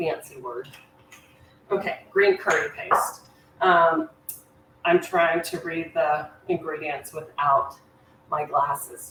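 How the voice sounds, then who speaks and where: With noticeable background noise behind her, a woman speaks at a very slow pace with long, frequent pauses, a fairly low pitch and fairly even intonation. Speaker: cooking show host. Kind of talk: cooking demonstration. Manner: casual, chatty.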